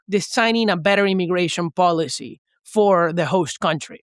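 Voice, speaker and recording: In a very clean recording with a silent background and a dry, close sound with no echo, a man with a Venezuelan accent speaks at a moderate pace in a bright, sharp tone. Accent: mild Venezuelan Spanish. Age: 20s. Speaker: economist. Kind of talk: podcast interview.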